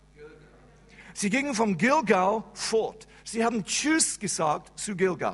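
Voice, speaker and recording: Using an English accent, a man with a high voice speaks very slowly with lively intonation. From England. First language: English (speaking German). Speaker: pastor. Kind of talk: sermon. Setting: church service. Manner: halting.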